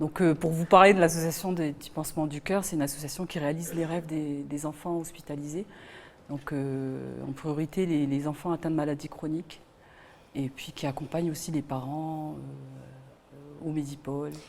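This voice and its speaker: At a moderate pace, a woman talks in a flat monotone with a very deep, low pitch. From Wallis and Futuna. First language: Wallisian (speaking French). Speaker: singer. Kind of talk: interview. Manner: halting, many fillers.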